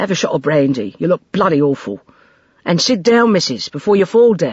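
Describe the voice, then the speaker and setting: A gruff, put-on character voice at middle pitch and a fairly quick pace. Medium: read story. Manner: gruff, dry, blunt.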